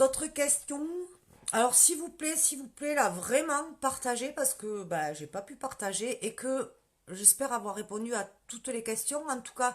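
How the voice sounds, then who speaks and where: Speaking at a moderate pace with a strong southern French accent, a woman uses a high pitch and lively intonation. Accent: strong southern French, rural. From southern France, countryside. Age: 40s. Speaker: direct sales consultant, former nurse manager. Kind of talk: live stream Q&A sales pitch. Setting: Facebook live video. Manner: casual, many fillers.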